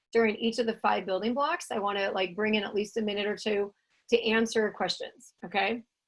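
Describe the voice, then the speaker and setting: Speaking at a fairly quick pace with an American accent, a woman uses a fairly high pitch and ordinary pitch variation. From California. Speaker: tiny home consultant and webinar host. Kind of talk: online masterclass presentation. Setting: video call (Zoom webinar). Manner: animated.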